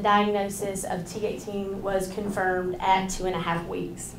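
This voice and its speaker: Noticeable background noise and audible room echo surround a woman speaking at a moderate pace with a medium pitch. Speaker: parent advocate. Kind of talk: presentation. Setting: hospital grand rounds podium with mic. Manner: loud.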